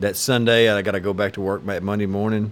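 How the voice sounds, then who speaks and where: A man talks at a very fast pace with vocal fry. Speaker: podcast co-host. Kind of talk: casual chat.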